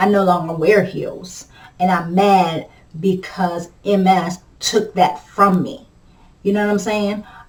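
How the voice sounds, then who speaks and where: The voice moves at a very slow pace with fairly even intonation. Noticeable background noise is present. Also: woman, medium pitch for a woman. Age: 40s. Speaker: vlogger living with multiple sclerosis. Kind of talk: casual chat. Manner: halting, with repetitions and fillers.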